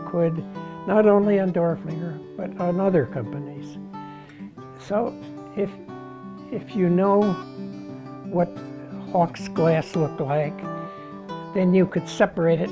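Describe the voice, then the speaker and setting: A man's high voice at a fairly slow pace, with long, frequent pauses, ordinary pitch variation and music in the background. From Pennsylvania, USA. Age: 80s+. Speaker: glass artist and museum curator. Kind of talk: interview answer.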